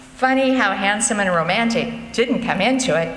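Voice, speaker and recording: A woman's voice with very wide pitch swings at a moderate pace, amid audible room echo and noticeable background noise. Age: 70s. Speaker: author and storyteller. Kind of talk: reading aloud of own humorous essays to a live audience. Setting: church concert with audience.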